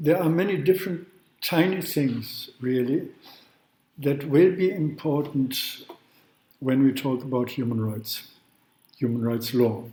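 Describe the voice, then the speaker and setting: Amid audible room echo, a man with a non-native accent speaks at a fairly slow pace with long, frequent pauses, a dark, mellow tone and ordinary pitch variation. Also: fairly high pitch for a man. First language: not English. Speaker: law professor. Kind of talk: lecture. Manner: halting.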